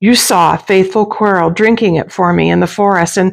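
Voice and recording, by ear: Reading aloud in a natural voice is what the speaker does here.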